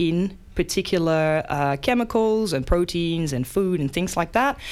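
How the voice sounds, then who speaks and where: A woman talks at a fairly slow pace in a Dutch accent, her fairly low pitch showing ordinary variation. The recording is very clean, with a silent background. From Netherlands. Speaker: science presenter. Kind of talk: casual science explainer. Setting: radio studio.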